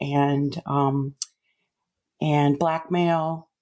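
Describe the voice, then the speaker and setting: A woman's flat, monotone delivery. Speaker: mother of the host. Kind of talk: personal testimony.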